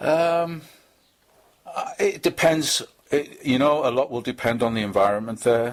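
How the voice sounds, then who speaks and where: A man speaks with a strong Liverpool accent and ordinary pitch variation. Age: 50s. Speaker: charity fitness fundraiser. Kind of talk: interview. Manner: halting, many fillers and repetitions.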